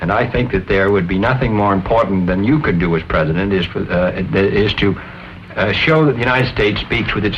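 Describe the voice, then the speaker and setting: Against noticeable background noise, a man with an American accent speaks fairly quickly at a fairly low pitch with ordinary pitch variation. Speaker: senator. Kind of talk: scripted political discussion.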